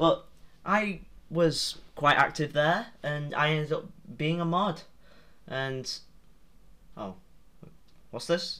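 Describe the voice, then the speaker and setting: A man with a British accent talks at a very slow pace, leaving long, frequent pauses. His fairly high voice has a bright, sharp tone and ordinary pitch variation. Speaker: YouTuber. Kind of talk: casual vlog commentary. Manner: halting.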